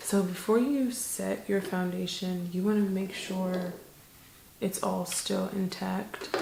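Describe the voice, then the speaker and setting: A soft-spoken woman whispering at a very slow pace, with audible room echo and noticeable background noise. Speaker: beauty vlogger. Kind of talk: makeup tutorial chat. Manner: monotone.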